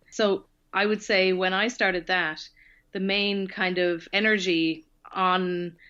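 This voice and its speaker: A woman with a slight Irish accent speaks very slowly at a medium pitch, in a bright, sharp tone with monotone, flat intonation. Her loudness stays very even against a quiet background. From Ireland, Tipperary. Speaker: author and researcher. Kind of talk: podcast interview. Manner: hesitant with many fillers.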